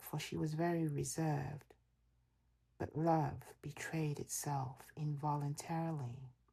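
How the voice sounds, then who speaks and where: A woman's very deep, low voice, dark and mellow in tone, somewhat breathy, with monotone, flat intonation and a fairly slow pace. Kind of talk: audiobook reading of classic literature. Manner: soft, relaxing ASMR style.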